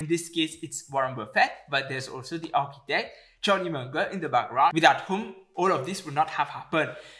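A man talks in a bright, sharp tone. The background is quiet. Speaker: investing YouTuber. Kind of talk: educational commentary to camera. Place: home room.

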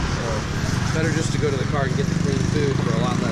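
Amid loud background noise, a man talks at a fairly quick pace. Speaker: vlogger. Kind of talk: casual vlog chat. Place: street. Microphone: phone near.

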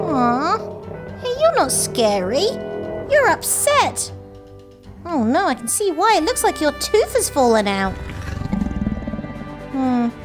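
Clear music sits in the background of a high-pitched cartoonish character voice speaking at a fairly slow pace. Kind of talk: children's show talk to camera. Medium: puppet. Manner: excited, upbeat.

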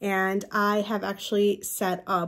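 The speech moves at a moderate pace over a quiet background. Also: woman. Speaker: collector vlogger. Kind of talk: casual vlog chat. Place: home room. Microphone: phone near.

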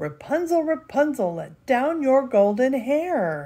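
A woman puts on a character voice, talking at a high pitch and a fairly slow pace. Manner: wicked, cackling.

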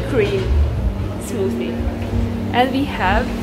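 Music plays behind a woman as she talks. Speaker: travel vlogger. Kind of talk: casual vlog chat. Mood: cheerful and pleased. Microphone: phone near.

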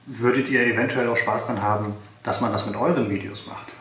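At a moderate pace, a man speaks with ordinary pitch variation amid audible room echo. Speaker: car enthusiast youtuber. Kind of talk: casual vlog chat. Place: home room.

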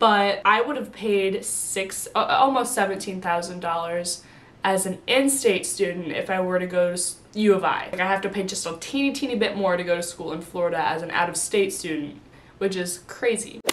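A woman with an American accent talks at a moderate pace, her medium pitch showing ordinary variation. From US Midwest, Illinois. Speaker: college student vlogger. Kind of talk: casual vlog talk to camera. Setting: sitting at home filming. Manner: animated. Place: home room. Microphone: camera far.

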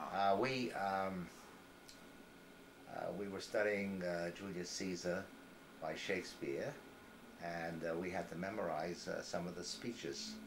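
With an American accent, a man speaks fairly slowly in a very deep, low voice, keeping fairly even intonation and taking long, frequent pauses over noticeable background noise. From Brockton, Massachusetts. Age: 80s+. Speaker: adult educator. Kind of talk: interview answer. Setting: living room. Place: home room. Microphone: old recording.

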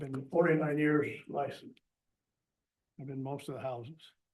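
A man with a medium pitch speaks at a moderate pace in a somewhat breathy voice. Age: 80s+. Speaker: retired plumber, public commenter. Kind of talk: public comment at council meeting.

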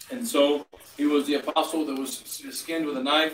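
A man talks at a moderate pace with fairly even intonation. There's light background noise and audible room echo. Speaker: clergyman preaching. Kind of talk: sermon. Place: home room. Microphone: camera far.

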